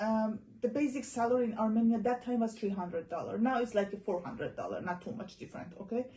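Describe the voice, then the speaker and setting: A woman with an Iranian accent speaks very fast at a fairly high pitch, with hardly any pauses. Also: ordinary pitch variation. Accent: Iranian (Persian). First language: Persian (Farsi). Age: young. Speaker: interviewee, former student abroad. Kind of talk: casual interview chat.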